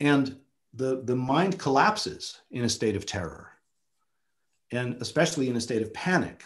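A man's somewhat breathy voice with lively intonation, at a moderate pace over a quiet background. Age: 50s. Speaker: photographer and filmmaker; guest. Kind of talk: seminar talk. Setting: video call. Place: home room. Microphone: webcam.

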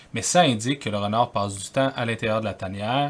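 Fairly even intonation carries the words along at a moderate pace. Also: man. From Quebec City, Canada; Quebec, Canada. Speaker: wildlife photographer. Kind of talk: tutorial. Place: home room.

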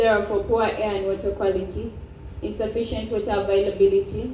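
A woman talks at a fairly quick pace. Light background noise and audible room echo surround her voice. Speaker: speaker. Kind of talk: formal speech. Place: hall.

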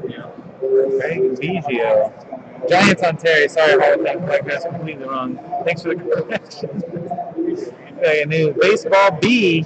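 A man with a high pitch, speaking at a fairly slow pace over loud background noise. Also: ordinary pitch variation. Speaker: sports card case breaker. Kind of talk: live-streamed card break commentary. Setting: trade show convention floor. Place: hall.

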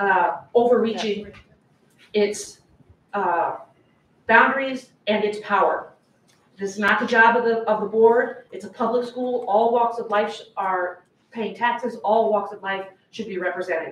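A woman's fairly even intonation, broken by long, frequent pauses, with audible room echo and light background noise. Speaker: public commenter at school board meeting. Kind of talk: public comment speech. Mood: upset, insistent. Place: meeting room. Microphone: camera far.

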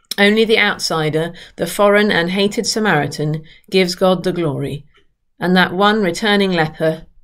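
A woman's ordinary speaking voice, fairly low-pitched with ordinary pitch variation and a fairly slow pace, against a quiet background. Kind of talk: sermon. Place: home room. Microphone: webcam.

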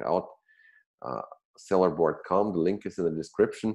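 Against a quiet background, a man speaks in a very deep, low pitch with a dark, mellow tone. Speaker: show host. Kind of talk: show intro. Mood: friendly, smiling. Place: home room. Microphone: earbuds.

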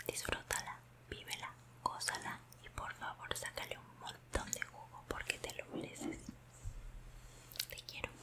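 Whispering at a fairly slow pace, a woman uses a warm tone and leaves long, frequent pauses. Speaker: vlogger giving advice. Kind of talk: casual vlog chat, heartfelt advice. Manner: warm, tender close whisper. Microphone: earbuds.

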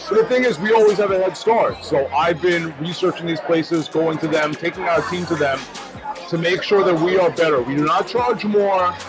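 A man speaks at a moderate pace and with ordinary pitch variation while clear music plays behind him. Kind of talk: casual vlog chat. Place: cafe. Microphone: lapel.

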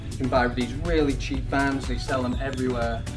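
A man speaks at a fairly quick pace. Clear music sits in the background. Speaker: fitness vlogger. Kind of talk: casual vlog tutorial. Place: garden.

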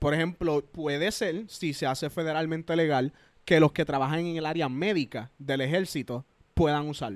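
A man with a fairly high pitch talks at a moderate pace with ordinary pitch variation. The sound is dry with no echo, and the background is quiet. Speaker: YouTuber and army veteran; podcast guest. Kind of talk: casual chat. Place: home room. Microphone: handheld.

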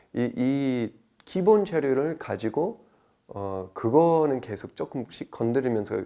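On a very clean recording with a silent background, a man speaks at a very slow pace, his medium-pitched voice dark and mellow in tone with lively intonation. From United States. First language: English (speaking Korean). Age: 30s. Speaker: traditional liquor sommelier. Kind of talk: interview.

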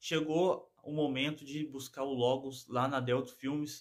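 A man speaks against a quiet background. His intonation is monotone and flat. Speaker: car vlogger. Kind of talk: casual vlog chat. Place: home room. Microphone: phone near.

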